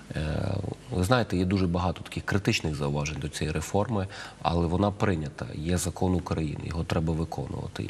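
A man's very deep, low voice with ordinary pitch variation over light background noise. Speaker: guest. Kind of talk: interview answer. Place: studio. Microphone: lapel.

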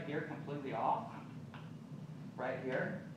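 Strong room echo and noticeable background noise surround a man as he talks. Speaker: chef instructor. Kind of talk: cooking class demonstration. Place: shop. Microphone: camera far.

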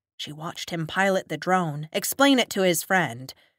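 This natural reading voice moves with ordinary pitch variation.

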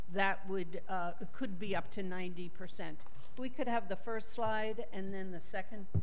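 A woman speaks at a moderate pace. There is loud background noise. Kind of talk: public meeting remarks. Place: meeting room. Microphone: podium.

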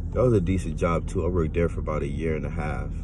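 A man speaks at a very fast pace with a very deep, low pitch and fairly even intonation. The sound is dry with no echo, though noticeable background noise is present. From Louisiana. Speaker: vlogger. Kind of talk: personal monologue to camera. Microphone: phone near.

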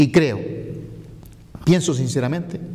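The voice has a dark, mellow tone, moves at a fairly quick pace and shows ordinary pitch variation. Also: man. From Canary Islands, Fuerteventura (Pájara); Canary Islands. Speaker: mayoral candidate, politician; candidate, politician. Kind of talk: interview. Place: meeting room. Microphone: lapel.

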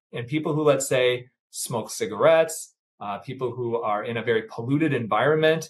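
Here a man with an American accent speaks at a fairly high pitch. He sounds somewhat breathy and moves at a fairly quick pace. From US Midwest. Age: 50s. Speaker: plastic surgeon; guest. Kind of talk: casual chat. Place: office.

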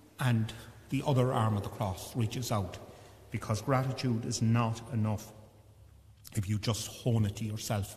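Speaking in an Irish accent at a moderate pace, a man uses a fairly low pitch, a dark, mellow and warm tone, fairly even intonation and a somewhat breathy sound. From Ireland. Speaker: priest. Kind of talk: funeral homily and mass liturgy. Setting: church. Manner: warm, reminiscing, gently humorous about his late father; halting, with repeated false starts. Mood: warm, reminiscing. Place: church. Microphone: podium.

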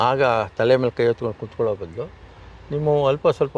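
A man with a medium pitch talks in a normal speaking voice. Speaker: retired education officer and farmer. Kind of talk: interview.

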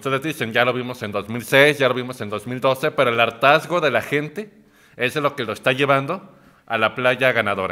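Against a quiet background, a man talks at a moderate pace with a bright, sharp tone, a medium pitch and ordinary pitch variation. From Mexico. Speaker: political panelist; panelist. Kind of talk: heated debate. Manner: animated. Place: studio.

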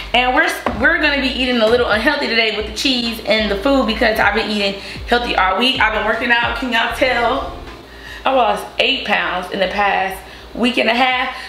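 A woman talks at a fairly quick pace with ordinary pitch variation, over light background noise and audible room echo. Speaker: cooking vlogger. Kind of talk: casual vlog chat. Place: kitchen. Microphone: camera far.

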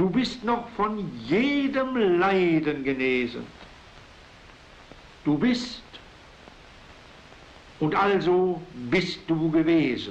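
A man's high voice, very slow, with very wide pitch swings and long, frequent pauses. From Silesia. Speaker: writer. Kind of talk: poetry reading. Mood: solemn, earnest. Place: home room. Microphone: old recording.

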